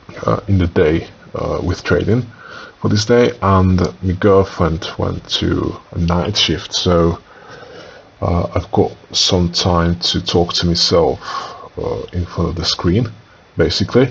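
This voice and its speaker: With long, frequent pauses, a man speaks at a very slow pace over noticeable background noise. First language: non-English. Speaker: day trader. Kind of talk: trading tutorial, screen walkthrough. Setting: home, talking to screen recording. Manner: hesitant, many filler uhs.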